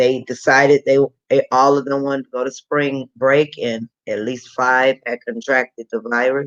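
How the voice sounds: The setting is quiet. A natural reading voice carries the words.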